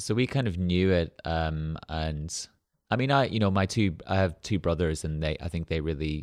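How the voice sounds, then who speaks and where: This man has an Irish accent. His voice sits at a very deep, low pitch. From rural Ireland. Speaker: arts center founder and artist. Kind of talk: interview conversation. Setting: studio.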